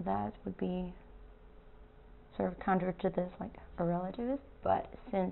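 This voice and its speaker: A woman with a medium-pitched voice speaks at a fairly slow pace. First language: not English. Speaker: artist. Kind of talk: casual talk to camera.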